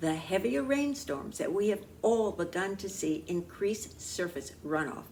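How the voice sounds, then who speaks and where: Fairly slow female speech with a room echo you can hear. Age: 80s+. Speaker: talk show host and producer. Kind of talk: scripted talk show monologue. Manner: formal.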